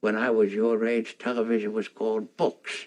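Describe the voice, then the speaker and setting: A man puts on a character voice at a medium pitch. The delivery is monotone and flat, at a moderate pace. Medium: short film. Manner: dry, gently humorous.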